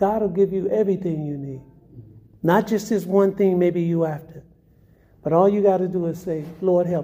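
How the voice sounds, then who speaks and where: This man has a dark, mellow tone and fairly even intonation at a moderate pace. He leaves long, frequent pauses. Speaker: testimony giver. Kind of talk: testimony. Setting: homeless shelter.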